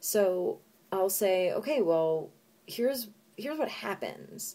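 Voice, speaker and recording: A woman with a dark, mellow tone speaks at a very slow pace. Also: medium pitch for a woman. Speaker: college professor. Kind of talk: lecture. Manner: loud; hesitant, many fillers.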